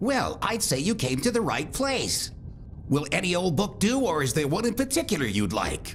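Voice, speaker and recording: A man puts on a cartoonish character voice, pitched high for a man. Background noise is clearly audible. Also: moderate pace. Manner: calm, wry.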